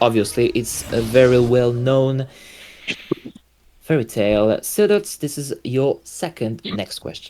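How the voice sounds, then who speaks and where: Music plays in the background as a man talks at a fairly slow pace. His pitch is medium and his intonation lively. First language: French. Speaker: quiz show host. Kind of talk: game show hosting. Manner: halting.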